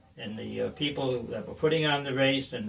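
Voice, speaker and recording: With audible room echo and noticeable background noise, a man talks at a very fast pace. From Rhode Island. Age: 70s. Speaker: veteran amateur runner. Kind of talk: casual chat. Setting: home man cave.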